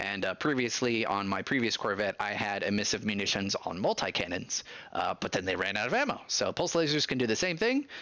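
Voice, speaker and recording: A man talks in an ordinary speaking voice at a medium pitch. His pace is fairly quick. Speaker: gaming streamer. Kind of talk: live gameplay stream with chat.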